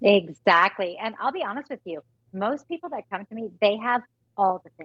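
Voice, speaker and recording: A woman with a normal speaking voice speaks at a moderate pace and medium pitch, her intonation lively and her loudness swinging widely. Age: 40s. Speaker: fitness and nutrition expert guest. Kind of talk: sales pitch.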